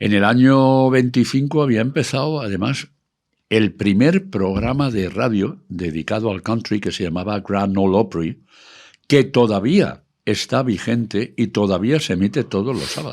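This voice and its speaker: Over a quiet background, a man with an unremarkable speaking voice talks at a fairly slow pace, his fairly low pitch carried by lively intonation. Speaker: radio broadcaster and country music expert. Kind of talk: casual talk, explaining history of country music.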